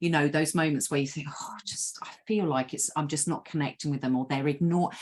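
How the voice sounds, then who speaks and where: A woman's animated, somewhat breathy voice. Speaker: webcast host and group exercise instructor. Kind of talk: conversational interview. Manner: excitable, animated.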